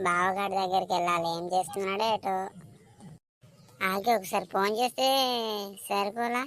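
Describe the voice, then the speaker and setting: A woman does a cartoonish character voice at a medium pitch. She keeps a moderate pace and fairly even intonation. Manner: complaining, reproachful.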